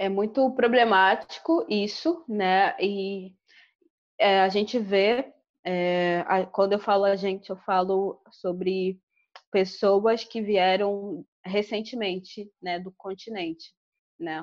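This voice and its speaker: Very slow speech from a woman at a medium pitch, with ordinary pitch variation. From Angola. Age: 20s. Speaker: fashion designer and researcher. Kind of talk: podcast interview.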